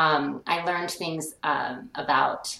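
Noticeable background noise sits behind a woman with an American accent. Her pitch is very deep and low, with ordinary pitch variation. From Colorado, US. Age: 50s. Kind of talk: interview.

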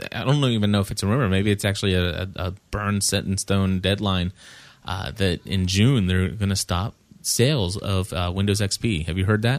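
Here is a man with a plain, everyday voice, pitched fairly low. He speaks at a moderate pace with ordinary pitch variation. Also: very clean recording, silent background. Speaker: podcast host. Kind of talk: casual chat.

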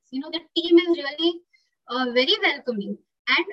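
Raising and projecting her voice, a woman speaks in a bright, sharp tone with very wide pitch swings. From India, Pune (Maharashtra). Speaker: zoo animal behaviour worker. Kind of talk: interview.

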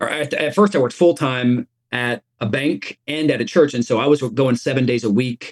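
A man with an American accent and a normal speaking voice talks at medium pitch and a moderate pace, with ordinary pitch variation and a dry, close sound with no echo. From US South, East Tennessee. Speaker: pastor. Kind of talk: interview.

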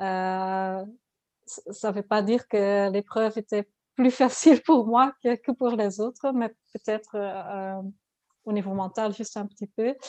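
Speaking fairly slowly with a Dutch accent, a woman with a fairly high voice and ordinary pitch variation is heard over a quiet background. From Flanders, Belgium (Ghent). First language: Dutch (speaking French). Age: 40s. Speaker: ultra-distance cyclist. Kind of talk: interview. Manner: halting.

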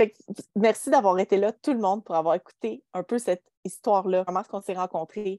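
The sound is dry and close, without any echo. A woman talks in a dark, mellow tone. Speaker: podcast host and entrepreneur. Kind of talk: casual chat. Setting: video call.

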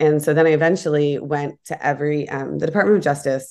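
Speaking at a very fast pace with an American accent, a woman holds a very deep, low pitch and fairly even intonation. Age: 40s. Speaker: entrepreneur and advocate against a tech giant. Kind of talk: interview.

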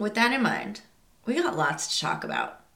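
Animated in tone, a woman's voice moves through very wide pitch swings, with audible room echo. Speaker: podcast host, psychic medium. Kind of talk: scripted show intro; casual podcast monologue.

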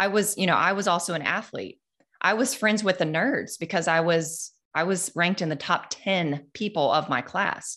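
A woman's fairly low voice with a bright, sharp tone, ordinary pitch variation, moderate pace and very even loudness, on a very clean recording with a silent background. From rural North Carolina. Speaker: business coach. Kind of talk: interview.

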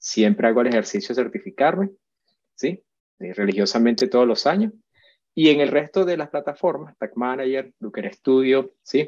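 A man talks at a moderate pace and a medium pitch. His pitch swings very widely. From Venezuela. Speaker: web analytics specialist. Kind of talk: interview.

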